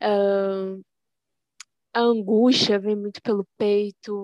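In a monotone, flat intonation at medium pitch, a woman is captured on a very clean recording with a silent background and a dry, close sound with no echo. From Belém, Pará (childhood in Rio de Janeiro). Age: 20s. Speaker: poet. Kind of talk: interview.

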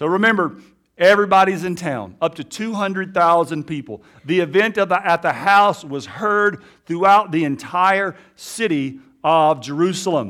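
A man with an American accent talks at a high pitch in a bright, sharp tone, with ordinary pitch variation. The recording is very clean, with a silent background. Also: moderate pace. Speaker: pastor. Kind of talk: sermon. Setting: church.

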